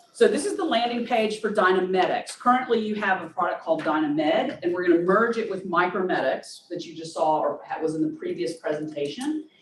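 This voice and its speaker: A woman's medium-pitched voice carries a Southern US accent. Her pitch swings very widely. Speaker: nurse practitioner. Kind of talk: product demo.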